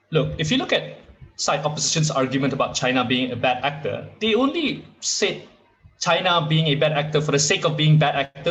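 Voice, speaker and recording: Music plays in the background and the room echo is audible. A man talks at a fairly quick pace in a fairly high pitch. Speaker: university debater. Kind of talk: competitive debate speech. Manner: loud. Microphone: echoey audio.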